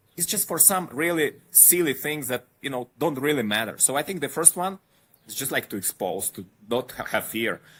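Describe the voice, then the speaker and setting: The recording is very clean, and the background silent. A man talks at a fairly high pitch. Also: lively intonation, moderate pace. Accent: slight Eastern European. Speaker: podcast guest, traveler. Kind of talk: casual interview chat.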